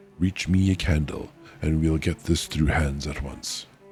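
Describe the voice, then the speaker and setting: Over music in the background, a man does a hoarse, put-on character voice at a very deep, low pitch. His pace is moderate and his intonation fairly even. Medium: virtual streamer.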